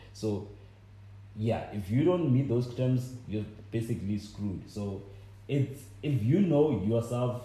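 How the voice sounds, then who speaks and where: With a South African accent, a man speaks in a dark, mellow tone that is somewhat breathy, and room echo is audible. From South Africa, Limpopo. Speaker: podcast co-host. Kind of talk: casual chat.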